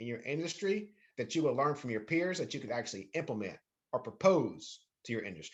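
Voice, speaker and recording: A man with a fairly high pitch talks at a moderate pace with lively intonation. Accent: Southern US. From North Carolina. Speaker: university lecturer. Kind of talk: lecture. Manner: repetitive, self-correcting.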